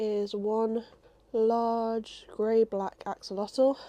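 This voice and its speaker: Her voice sits fairly high in pitch and has a dark, mellow tone. The woman is recorded against a quiet background. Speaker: crochet vlogger. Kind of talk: casual chat. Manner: subdued, low energy.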